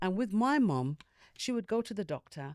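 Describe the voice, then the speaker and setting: At a fairly slow pace, a woman with a dark, mellow tone makes very wide pitch swings, captured in a very clean recording with a silent background and a dry, close sound with no echo. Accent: London. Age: 60s. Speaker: panel guest sharing health experience. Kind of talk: personal testimony in group discussion.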